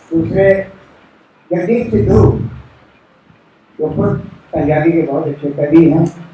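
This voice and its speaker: A man with a fairly high pitch and ordinary pitch variation speaks with long, frequent pauses amid noticeable background noise and audible room echo. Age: 80s+. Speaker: poet. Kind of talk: speech at a literary event.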